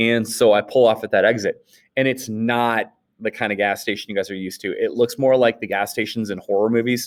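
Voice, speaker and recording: Speaking in a Northern US accent, a man with a medium pitch talks at a fairly quick pace in monotone, flat intonation. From Wisconsin, US Upper Midwest. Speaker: high school history teacher. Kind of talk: recorded class lecture. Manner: casual, halting with repetitions.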